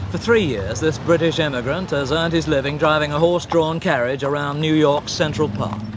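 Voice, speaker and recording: Over noticeable background noise, a man talks at a fairly quick pace in a fairly high pitch with ordinary pitch variation and hardly any pauses. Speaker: TV documentary presenter. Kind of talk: TV documentary interview questions.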